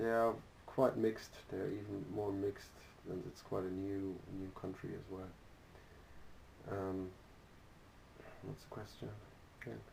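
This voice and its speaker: A man with a German accent, fairly low-pitched, at a fairly slow pace with fairly even intonation and long, frequent pauses. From Germany. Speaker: interviewee. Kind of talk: interview. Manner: halting, with frequent repetitions.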